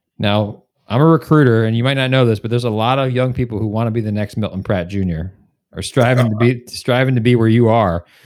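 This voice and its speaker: A man with a medium pitch and ordinary pitch variation rattles off his words at a very fast pace. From northern New Jersey. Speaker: podcast host, recruiter. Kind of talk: interview.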